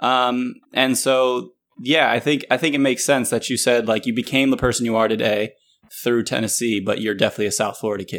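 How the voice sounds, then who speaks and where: A man's unremarkable speaking voice with an American accent, fairly quick, at medium pitch, with fairly even intonation. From Northern Virginia. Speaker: podcast host. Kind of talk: casual interview chat.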